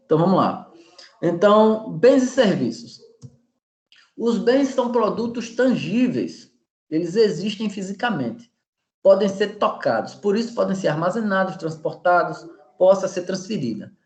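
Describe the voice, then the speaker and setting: Talking at a high pitch with lively intonation, a man keeps a fairly slow pace broken by long, frequent pauses. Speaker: professor. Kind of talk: lecture.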